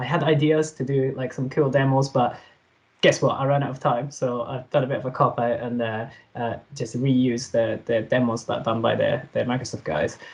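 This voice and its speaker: A somewhat breathy man's voice at a medium pitch, with fairly even intonation. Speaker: software developer presenter. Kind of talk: tech talk presentation. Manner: fast; hesitant with fillers.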